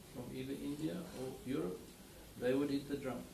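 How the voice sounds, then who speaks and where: A man with a fairly high pitch and a South African accent, at a moderate pace, amid noticeable background noise and audible room echo. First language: Afrikaans. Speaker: winery owner. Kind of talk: interview. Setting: studio.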